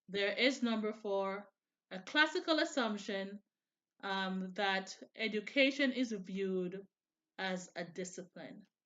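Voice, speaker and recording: At a fairly slow pace, a woman speaks with a medium pitch and lively intonation. She takes long, frequent pauses. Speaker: student presenter. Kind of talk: class presentation.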